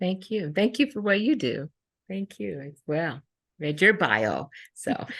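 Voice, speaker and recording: Dry and close with no echo, a woman speaks at a fairly slow pace and medium pitch with vocal fry, very wide pitch swings and big swings in loudness. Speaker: mindfulness teacher. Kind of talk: interview. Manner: halting.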